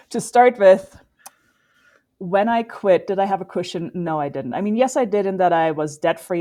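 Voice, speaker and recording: A woman with a slight German accent talks at a fairly quick pace, her intonation lively. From Germany. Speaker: endurance athlete. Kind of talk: podcast interview.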